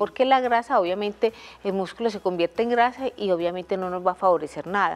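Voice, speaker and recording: A woman speaks with ordinary pitch variation. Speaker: TV guest. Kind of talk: interview answer. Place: studio.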